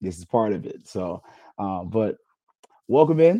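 A man with a gravelly, dark, mellow voice speaks fairly slowly at a fairly low pitch, with big pitch swings.

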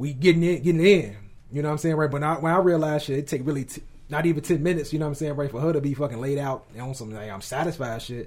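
A man speaks very fast at a fairly high pitch, his voice somewhat breathy. His loudness swings widely while his pitch varies in an ordinary way. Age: 30s. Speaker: podcast host. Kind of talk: casual chat. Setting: studio.

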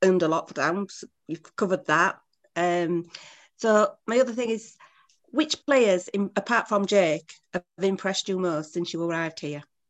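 Ordinary pitch variation at a moderate pace. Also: woman. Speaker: rugby fan. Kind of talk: audience question. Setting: video call.

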